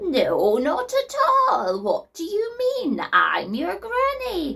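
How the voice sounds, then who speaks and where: In a put-on character voice, a woman speaks at an extremely high pitch. Her pace is very slow. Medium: read story. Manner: put-on friendliness, sly.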